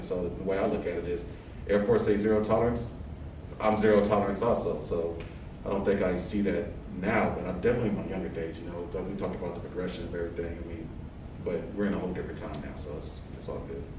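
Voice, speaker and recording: A man with an American accent talking at a very fast pace, fairly low in pitch, fairly even in intonation, with noticeable background noise and audible room echo. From Texas, east side of San Antonio. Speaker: air force technical sergeant. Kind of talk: casual interview.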